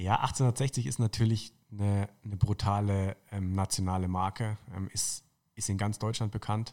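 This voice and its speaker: In a very clean recording with a silent background, a man with an unremarkable speaking voice talks at a fairly slow pace, his pitch fairly low and his intonation fairly even. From northern Baden-Württemberg (Tauberbischofsheim, near Würzburg). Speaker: football club marketing manager. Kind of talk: casual interview.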